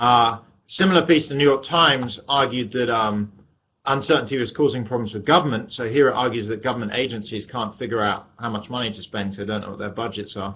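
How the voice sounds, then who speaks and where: A man with an English accent speaks at a very fast pace in a bright, sharp tone. His pitch variation is ordinary, and his loudness swings widely. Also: medium pitch for a man. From England. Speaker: economics professor. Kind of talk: lecture. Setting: webinar via webcam.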